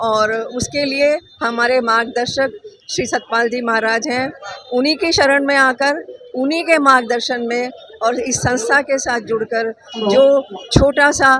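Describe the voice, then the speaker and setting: Noticeable background noise sits behind a woman whose high voice shows ordinary pitch variation. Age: 70s. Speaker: volunteer at a charity blood donation camp. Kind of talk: interview.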